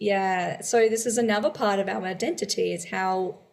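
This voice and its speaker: With an Australian accent, a woman speaks using fairly even intonation. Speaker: podcast co-host. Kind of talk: casual chat.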